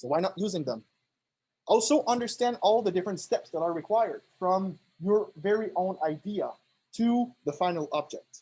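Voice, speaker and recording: With a French Canadian accent, a man speaks at a high pitch with lively intonation. His tone is dark and mellow, and his pace moderate. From Quebec, Canada (Montreal). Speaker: PhD student presenting a workshop. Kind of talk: workshop lecture. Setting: classroom, streamed on Zoom. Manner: hesitant, many fillers.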